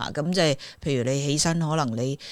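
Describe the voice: A woman speaks with a low voice. Her pitch varies in an ordinary way. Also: fairly quick pace.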